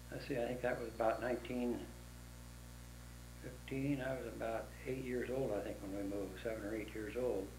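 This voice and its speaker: In an American accent, a man speaks at a fairly quick pace broken by long, frequent pauses, with noticeable background noise and audible room echo. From Dixon, California (US West). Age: 80s+. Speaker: oral history interviewee. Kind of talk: oral history interview. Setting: at his home. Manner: halting.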